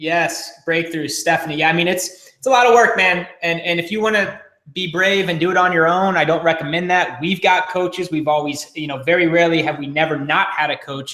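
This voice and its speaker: A man speaks in an energetic tone with high pitch. His pace is fairly quick. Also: ordinary pitch variation. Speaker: marketing coach. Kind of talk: live webinar training. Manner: fast.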